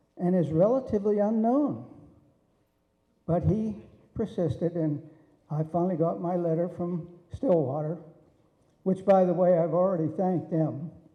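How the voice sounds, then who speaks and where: A man's high-pitched voice with an American accent at a moderate pace, ordinary pitch variation, long, frequent pauses and audible room echo. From Pennsylvania, Allegheny Mountains. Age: 80s+. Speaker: wrestling referee. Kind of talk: acceptance speech. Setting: banquet hall with audience.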